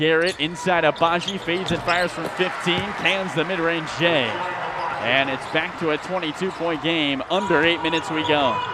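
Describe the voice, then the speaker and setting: Against noticeable background noise, a man with a high pitch talks at a moderate pace in a monotone, flat intonation. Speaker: sports broadcaster, basketball radio play-by-play announcer. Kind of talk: radio sports play-by-play call.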